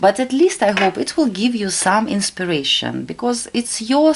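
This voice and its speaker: In a Russian accent, a woman speaks at a fairly high pitch. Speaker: tarot reader. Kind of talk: tarot reading tutorial. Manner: halting.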